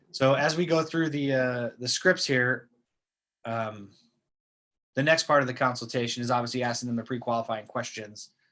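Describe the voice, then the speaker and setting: Over a silent background in a very clean recording, a man speaks in a bright, sharp tone with long, frequent pauses. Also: medium pitch for a man, ordinary pitch variation. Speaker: real estate trainer. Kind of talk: training session. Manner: fast.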